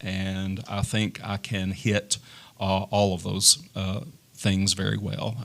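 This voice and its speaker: A man speaks with a Tennessee accent. His pace is fairly slow. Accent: Southern US (Tennessee). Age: 50s. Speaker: political candidate, former teacher. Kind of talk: candidate forum. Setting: studio with audience. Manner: hesitant, many fillers.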